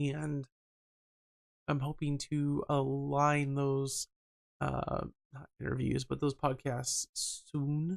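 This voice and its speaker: The speaker uses a serious tone at a very slow pace, with long, frequent pauses. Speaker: podcast host and streamer. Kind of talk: solo podcast monologue. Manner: serious toned.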